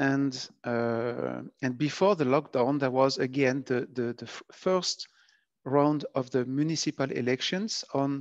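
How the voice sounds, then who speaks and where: With a French accent, a man speaks at a fairly slow pace and medium pitch. His pitch varies in an ordinary way, and the sound is dry and close, with no echo. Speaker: epidemiology researcher. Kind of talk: lecture. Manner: halting.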